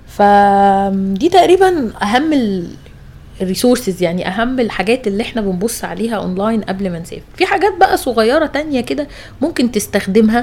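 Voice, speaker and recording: A woman speaks loud with a fairly high pitch and very wide pitch swings. Her pace is moderate, and there is noticeable background noise. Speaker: travel podcast host. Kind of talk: casual chat.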